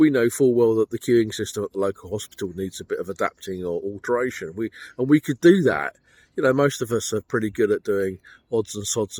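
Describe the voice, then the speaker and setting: A man with a British accent speaks fairly quickly at medium pitch with ordinary pitch variation, the sound dry and close with no echo on a very clean recording with a silent background. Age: 60s. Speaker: personal finance vlogger. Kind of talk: monologue commentary. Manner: casual, conversational.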